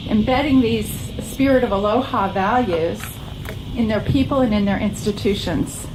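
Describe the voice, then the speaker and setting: Noticeable background noise sits behind a woman speaking at a moderate pace and fairly high pitch. Her pitch varies in an ordinary way and her loudness stays very even. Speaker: minister, church speaker. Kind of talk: sermon / spiritual message to a congregation. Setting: outdoor church service.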